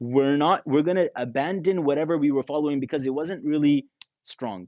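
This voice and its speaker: This man, with a Canadian accent, talks at a fairly high pitch and a fairly quick pace. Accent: Canadian English with Arabic religious terms. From Canada. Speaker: imam and Islamic scholar. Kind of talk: religious lecture.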